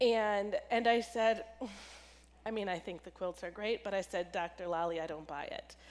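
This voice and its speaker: A woman with an ordinary speaking voice talks at a moderate pace and medium pitch, with ordinary pitch variation. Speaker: pastor, charity engagement director. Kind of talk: church talk.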